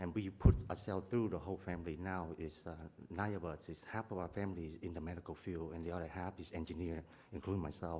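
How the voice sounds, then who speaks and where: A man with a Vietnamese accent talks at a fairly quick pace, his pitch very deep and low. His tone is dark and mellow, with ordinary pitch variation. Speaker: property owner, engineer. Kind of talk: public testimony. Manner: fast; halting.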